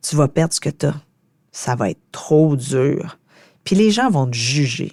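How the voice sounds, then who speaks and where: Very deep and low for a woman, her dark, mellow voice moves at a very slow pace with lively intonation over a very clean recording with a silent background. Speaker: podcast host. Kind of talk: solo podcast reflection.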